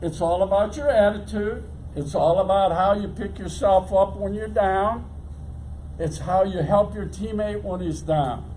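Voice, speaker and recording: A man speaks at a fairly slow pace over noticeable background noise, with audible room echo. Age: 80s+. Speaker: retired baseball coach and athletic director. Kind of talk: motivational speech.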